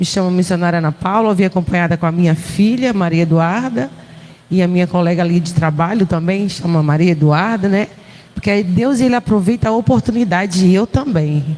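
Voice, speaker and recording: Speaking at a fairly quick pace with a Pernambuco accent, a woman keeps a fairly low pitch and very even loudness over noticeable background noise. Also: ordinary pitch variation. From Pernambuco, northeastern Brazil. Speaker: visiting preacher, missionary. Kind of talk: sermon. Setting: church.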